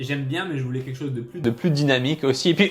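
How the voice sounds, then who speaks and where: A man speaks with a fairly high-pitched voice. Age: 20s. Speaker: life coach, YouTuber. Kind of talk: casual vlog talk to camera. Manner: hesitant, many fillers and repetitions.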